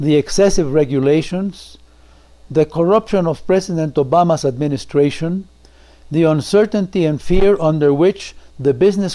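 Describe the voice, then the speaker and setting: Speaking with a Spanish accent, a man uses a fairly high pitch and a dark, mellow tone, keeping a moderate pace and very even loudness. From Mexico. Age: 80s+. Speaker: political commentator. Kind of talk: prepared political message. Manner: formal.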